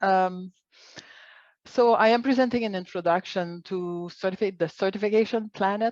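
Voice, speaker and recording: With a Quebec accent, a woman speaks at medium pitch and a moderate pace, showing ordinary pitch variation in a dry, close sound with no echo. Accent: Quebecois French. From Quebec, Montreal. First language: French. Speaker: organic agriculture expert, biologist. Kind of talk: online conference presentation.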